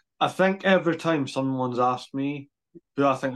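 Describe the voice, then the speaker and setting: This man has a plain, everyday voice at medium pitch with ordinary pitch variation. The background is quiet. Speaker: podcast host. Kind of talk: casual interview.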